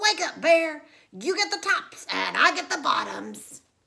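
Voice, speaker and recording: A woman's put-on character voice, squeaky and extremely high-pitched, at a fairly slow pace. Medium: read story. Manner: smooth, persuasive.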